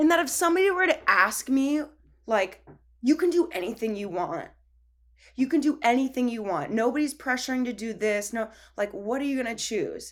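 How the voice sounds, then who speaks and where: Recorded very cleanly against a silent background, a woman speaks at a moderate pace with a high pitch and very wide pitch swings. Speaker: dancer and choreographer, mother. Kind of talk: casual interview chat.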